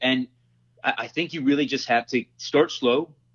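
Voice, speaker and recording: This man has an unremarkable speaking voice with a fairly high pitch. His pace is moderate and his pitch variation ordinary. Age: 30s. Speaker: self-defense instructor. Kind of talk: casual interview chat.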